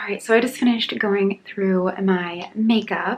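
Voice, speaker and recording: With ordinary pitch variation at a medium pitch, a woman talks through noticeable background noise. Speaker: lifestyle vlogger. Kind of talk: casual vlog narration. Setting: at home. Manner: quiet.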